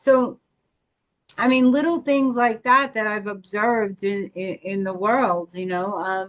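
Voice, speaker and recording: A woman talks at a fairly slow pace in a plain, everyday voice, fairly high in pitch, with ordinary pitch variation. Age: 50s. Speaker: podcast co-host. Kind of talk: casual chat.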